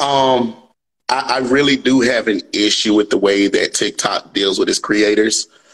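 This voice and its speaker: A man in a Mississippi accent. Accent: Mississippi Southern US. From US South, Natchez, Mississippi. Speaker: comedian. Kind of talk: interview. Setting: live stream. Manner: loud.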